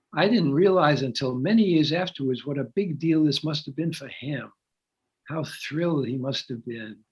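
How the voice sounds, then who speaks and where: A man talks somewhat breathily, with ordinary pitch variation. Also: fairly high pitch for a man, moderate pace. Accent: American. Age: 90s. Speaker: author. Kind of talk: interview.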